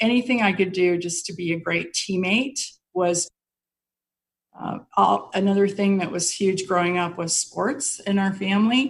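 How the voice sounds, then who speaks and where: A woman with an American accent speaks at a medium pitch and a fairly slow pace. Her voice is somewhat breathy, with ordinary pitch variation. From Colorado, US (Denver). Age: 60s. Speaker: mortgage executive. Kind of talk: interview.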